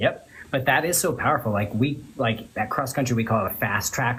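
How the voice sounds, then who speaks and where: A somewhat breathy man with an American accent, medium pitch and ordinary pitch variation, at a fairly quick pace. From Florida. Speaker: loan officer, livestream host. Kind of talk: casual chat. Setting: social media livestream.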